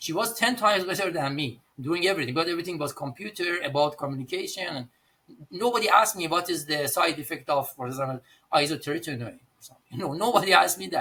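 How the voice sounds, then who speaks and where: With an Iranian accent, a man talks at a very fast pace and high pitch. His intonation is lively, and his loudness swings widely. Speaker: pharmacist and pharmacy owner. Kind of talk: podcast interview. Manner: halting.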